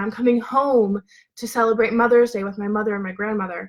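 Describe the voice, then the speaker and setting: Animated in tone, a woman talks at a fairly quick pace with a fairly high pitch. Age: 20s. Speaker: business and mindset coach. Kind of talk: livestream motivational talk. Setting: live video stream. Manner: fast. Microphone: laptop mic.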